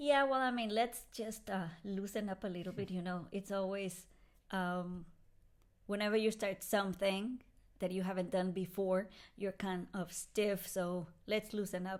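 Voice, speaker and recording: A woman at medium pitch with a Spanish accent, fairly even intonation and a fairly slow pace. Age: 40s. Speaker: podcast host. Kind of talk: casual chat.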